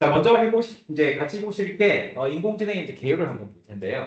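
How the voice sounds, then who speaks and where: A man at a fairly quick pace, his pitch swinging very widely. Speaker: AI instructor. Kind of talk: lecture. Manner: fast.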